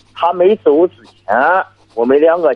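A man talks at a very slow pace. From Shandong. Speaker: village party secretary, caller. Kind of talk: call-in advice conversation. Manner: halting.

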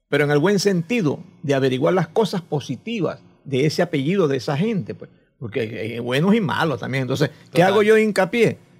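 The speaker moves at a fairly quick pace with very wide pitch swings. Loudness also swings widely. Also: man, fairly high pitch for a man. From Venezuela, Coro (Falcón state). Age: 70s. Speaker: chronicler and retired teacher. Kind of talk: casual interview.

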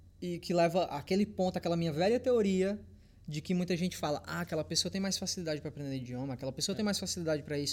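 A man talks at a very fast pace in a high pitch. His pitch varies an ordinary amount. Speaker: fitness YouTuber. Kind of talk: casual chat.

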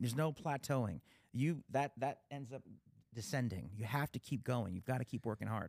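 A man in an American accent at medium pitch and moderate pace, ordinary pitch variation, a touch of vocal fry, and a dry, close sound with no echo. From Pennsylvania. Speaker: podcast host, talent agent and guitarist. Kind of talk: casual interview chat. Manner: halting, many fillers.

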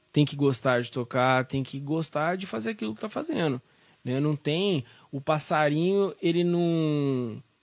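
On a very clean recording with a silent background, a man speaks in a normal speaking voice, fairly high in pitch, at a fairly slow pace with ordinary pitch variation. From Brazil, São Joaquim da Barra (São Paulo state). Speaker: voice teacher and musician. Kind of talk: casual interview.

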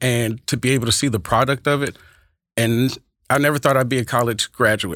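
An American-accented man at a medium pitch, fairly quick, with very even loudness. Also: very clean recording, silent background. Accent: Texas twang with Oakland flavor. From California, later Texas. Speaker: high school speech and debate teacher. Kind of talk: casual interview. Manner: animated.

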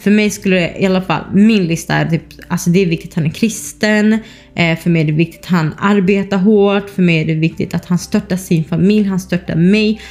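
A woman talks at a fairly quick pace in an unremarkable speaking voice, medium in pitch, with fairly even intonation and very even loudness. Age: 20s. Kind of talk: casual monologue.

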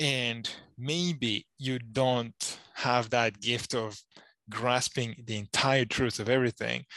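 A bright, sharp tone with a non-native accent, recorded dry and close with no echo. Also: man. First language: not English. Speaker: Bible student, podcast co-host. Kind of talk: casual chat. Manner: halting.

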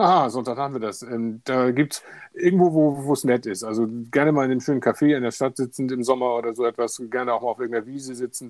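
The man talks at a very fast pace. His pitch variation is ordinary. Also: medium pitch for a man, very clean recording, silent background. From Hamburg, northern Germany. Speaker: podcast co-host, software team lead. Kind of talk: casual chat.

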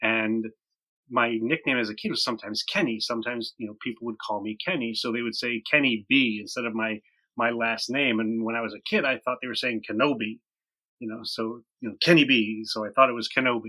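Recorded very cleanly with a silent background and a dry, close sound with no echo, a man with an American accent speaks at a fairly quick pace in a medium pitch, his tone bright and sharp and his intonation fairly even. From upstate New York. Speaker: podcaster. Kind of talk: casual chat.

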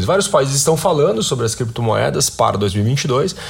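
A man talks at a moderate pace with a Brazilian accent and ordinary pitch variation. There is audible room echo and noticeable background noise. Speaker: podcast host. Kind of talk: news commentary. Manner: frequent fillers and hesitations.

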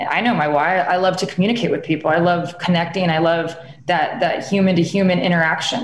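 A woman's fairly low voice with a Californian accent, fairly even intonation, very even loudness and a fairly quick pace, amid noticeable background noise and audible room echo. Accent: Californian American. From Southern California. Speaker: actress and film producer. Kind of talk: interview conversation.

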